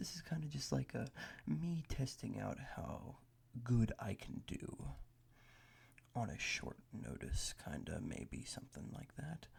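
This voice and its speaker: A man speaks at a fairly slow pace. Long, frequent pauses break up his speech. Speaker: ASMR creator. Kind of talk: casual ASMR ramble. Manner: loud; rambling casual.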